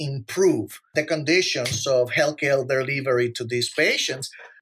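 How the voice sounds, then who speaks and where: In a Spanish accent, the words come at a fairly slow pace. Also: man. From Puerto Rico. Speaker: physician. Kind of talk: podcast monologue.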